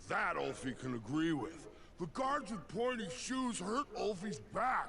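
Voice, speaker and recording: A man puts on a character voice pitched high. He talks at a fairly slow pace over clear background noise. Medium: video game. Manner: simple, talks about self in third person.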